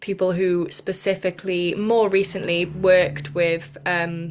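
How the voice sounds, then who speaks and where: A woman in a Welsh accent, medium pitch and very slow pace. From South Wales. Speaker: podcast host, spiritual teacher. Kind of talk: casual chat. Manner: halting.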